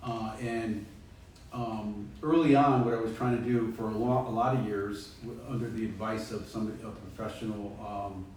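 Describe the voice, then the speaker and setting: A Connecticut accent with fairly even intonation, amid noticeable background noise and audible room echo. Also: man. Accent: US Northeast (Connecticut). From Connecticut, East Haven. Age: 60s. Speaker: author and peer support specialist. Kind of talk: library talk. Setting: library presentation with audience. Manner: halting, many fillers and repetitions.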